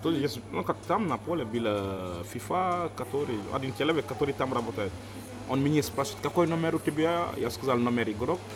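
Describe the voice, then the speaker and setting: Amid noticeable background noise, a man at medium pitch talks at a moderate pace with lively intonation. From Senegal. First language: not Russian; speaks it as a second language (speaking Russian). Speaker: sports volunteer. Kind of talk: interview. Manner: halting, with pauses and self-corrections.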